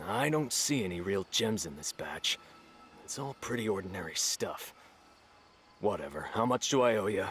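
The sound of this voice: A man puts on a cartoonish character voice with a fairly low pitch, a husky, rough edge, a fairly bright tone, lively intonation and a moderate pace.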